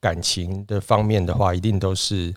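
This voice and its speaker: In a dry, close recording with no echo, a man talks with a very deep, low pitch and fairly even intonation. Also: very clean recording, silent background. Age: 40s. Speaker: returnee businessman. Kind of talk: casual chat.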